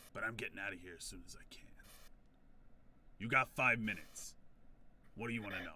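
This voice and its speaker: In a raspy, put-on character voice, a man of medium pitch rushes along at a very fast pace while leaving long, frequent pauses. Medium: actual play. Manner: casual, cagey.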